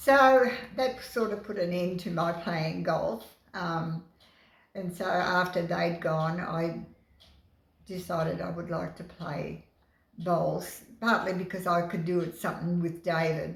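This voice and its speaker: With audible room echo, a woman in an Australian accent talks at a fairly slow pace, fairly low in pitch with vocal fry and ordinary pitch variation. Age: 80s+. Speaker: bowls club life member. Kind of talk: interview. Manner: halting.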